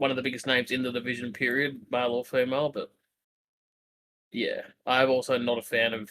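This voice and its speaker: A man's bright, sharp voice at medium pitch, flat and monotone, with an Australian accent. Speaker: wrestling podcast co-host. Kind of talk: casual chat.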